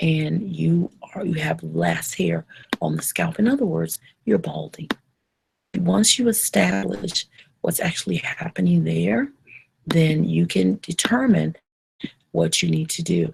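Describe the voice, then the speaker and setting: A woman is whispering quietly at a fairly slow pace. She leaves long, frequent pauses. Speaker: trichologist hosting a hair advice live show. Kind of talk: live online Q&A show. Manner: quiet, whispery.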